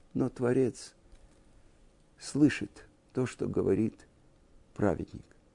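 At a very slow pace, a man with a medium pitch and a dark, mellow tone talks with vocal fry. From Russia, Moscow. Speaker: religious teacher. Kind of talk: lecture.

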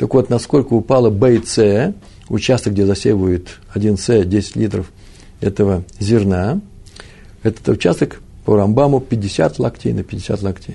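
Fairly low in pitch, a man's voice is dark, mellow and somewhat breathy. He speaks fairly slowly with long, frequent pauses and ordinary pitch variation. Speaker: Talmud teacher. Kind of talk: lecture. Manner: halting.

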